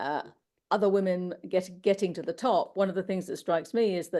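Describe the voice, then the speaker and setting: In a British accent, a woman speaks at a fairly quick pace and medium pitch with fairly even intonation. Her tone is dark and mellow, and the background is quiet. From UK. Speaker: finance professional, panelist. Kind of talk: panel discussion. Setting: webinar.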